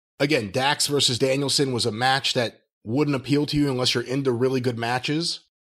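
It is a plain, everyday voice with fairly even intonation and very even loudness. The recording is very clean, with a silent background. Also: man, medium pitch for a man, fairly quick pace. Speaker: podcast co-host. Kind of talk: casual chat.

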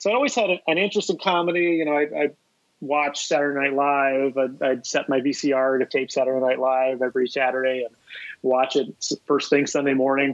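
A man with a normal speaking voice and an American accent, fairly high in pitch with ordinary pitch variation, very even loudness and a fairly quick pace. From US South, Columbia, South Carolina. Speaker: comedy prank organizer and filmmaker. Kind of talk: podcast interview, casual chat. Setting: phone call.

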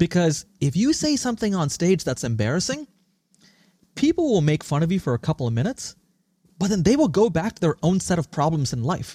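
A man speaks fairly quickly in a high voice with a dark, mellow tone and very wide pitch swings. The recording is very clean, with a silent background and a dry, close sound with no echo. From India and Singapore. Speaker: startup founder and CEO. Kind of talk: interview. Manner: articulate and forceful.

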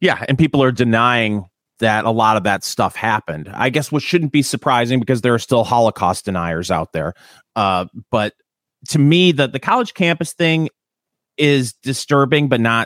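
A man with a Michigan accent speaks at a moderate pace in a medium pitch, with lively intonation. The very clean recording has a silent background and a dry, close sound with no echo. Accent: Michigan accent, Canadian-like. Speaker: podcast co-host and radio host. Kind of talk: casual chat. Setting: in his garage.

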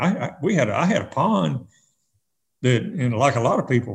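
A man talks at a fairly quick pace with lively intonation. His medium-pitched voice is somewhat breathy. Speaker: retired fishing tournament director. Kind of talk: casual interview. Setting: video call. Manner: quiet, few words.

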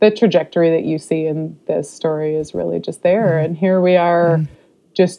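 Speaking at a moderate pace, a woman with an American accent has a fairly low pitch. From California, Modesto. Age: 30s. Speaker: podcast guest sharing life story. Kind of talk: interview, personal testimony. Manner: halting, many fillers.

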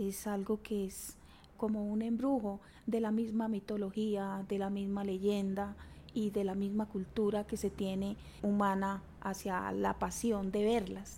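A woman's medium-pitched, somewhat breathy voice with a dark, mellow tone, fairly slow delivery and flat, monotone intonation. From Colombia, Chiquinquirá, western Boyacá. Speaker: community leader in the emerald sector. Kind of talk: interview.

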